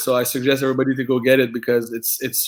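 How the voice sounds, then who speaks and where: The man's pace is fairly quick. He talks in a French accent. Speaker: combat sports fighter. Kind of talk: casual interview chat. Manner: halting, many repeated words.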